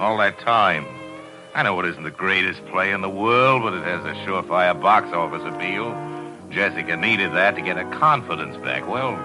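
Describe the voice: A man does a put-on character voice with a bright, sharp tone, low pitch and lively intonation. He keeps a moderate pace while faint music plays in the background.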